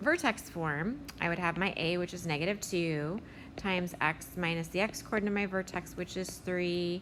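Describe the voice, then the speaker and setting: This woman has an ordinary speaking voice, pitched fairly low, with ordinary pitch variation. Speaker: math teacher. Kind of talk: tutorial.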